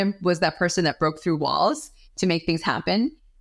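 Over a very clean recording with a silent background, a woman with an American accent speaks in a plain, everyday voice at a fairly quick pace, with medium pitch and lively intonation. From New York. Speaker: chief marketing officer. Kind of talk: interview.

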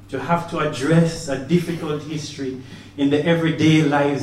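A man with a fairly high pitch talks at a moderate pace. There is audible room echo and noticeable background noise. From Caribbean, Jamaica. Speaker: professor. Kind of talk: opening speech. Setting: exhibition opening. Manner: formal.

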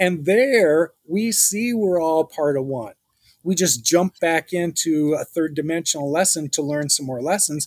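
Recorded very cleanly against a silent background with a dry, close sound and no echo, a man with a plain, everyday voice speaks at a fairly slow pace and a fairly high pitch with ordinary pitch variation. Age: 60s. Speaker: spiritual guest, former hospitality executive. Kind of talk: interview.

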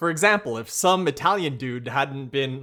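A man with an American accent, a normal speaking voice, fairly high pitch, lively intonation and a moderate pace, in a very clean recording with a silent background. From United States. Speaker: food blogger and cooking show host. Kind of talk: casual chat.

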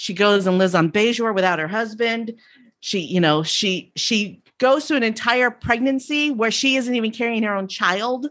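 A woman in a normal speaking voice, at a moderate pace with ordinary pitch variation, over a quiet background. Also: fairly high pitch for a woman. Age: 50s. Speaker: podcast host and guest fan. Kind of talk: casual chat.

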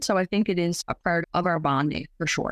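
A woman with a normal speaking voice and fairly low pitch talks at a fairly quick pace with ordinary pitch variation, in a dry, close sound with no echo. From Newfoundland, Canada. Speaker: photographer and pharmacist. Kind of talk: interview.

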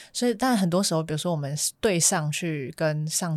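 Over a silent background in a very clean recording, a woman speaks at a very deep, low pitch. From Malaysia. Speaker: graduate student and worker. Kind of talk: casual interview.

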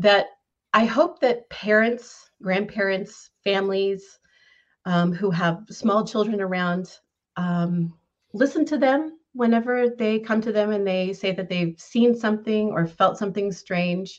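In an American accent, a woman speaks fairly slowly in an ordinary speaking voice, her medium pitch varying in an ordinary way. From Northern California. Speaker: caller sharing paranormal experiences. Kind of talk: personal storytelling. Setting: video call.

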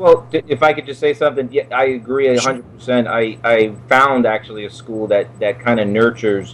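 Someone with a New York accent speaks at a moderate pace with fairly even intonation against noticeable background noise. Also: man. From New York (Brooklyn). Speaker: actor. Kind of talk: casual interview. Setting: studio.

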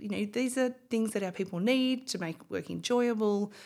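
Speaking in an Australian accent, a woman uses a fairly high pitch and lively intonation at a moderate pace. The recording is very clean, with a silent background. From Australia, Bendigo (regional Victoria). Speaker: company CEO. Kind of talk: interview.

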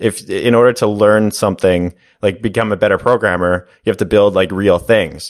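A man at a moderate pace, ordinary pitch variation, an ordinary speaking voice. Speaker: course creator and YouTuber. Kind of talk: casual interview. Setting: video call.

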